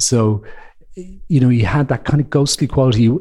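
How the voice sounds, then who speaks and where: A somewhat breathy voice with an Irish accent, fairly quick, with ordinary pitch variation. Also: man. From Ireland. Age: 60s. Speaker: playwright. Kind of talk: interview conversation. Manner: halting, with frequent repeats and fillers.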